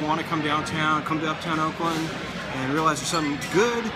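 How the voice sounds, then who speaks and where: A man speaks at a very fast pace. Loud music plays in the background. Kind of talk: interview answer. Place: cafe.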